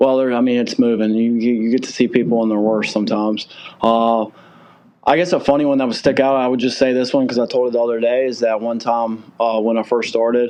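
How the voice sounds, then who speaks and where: In a Southern US accent, a man talks at a very fast pace with monotone, flat intonation. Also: medium pitch for a man. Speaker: moving company owner. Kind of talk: podcast interview.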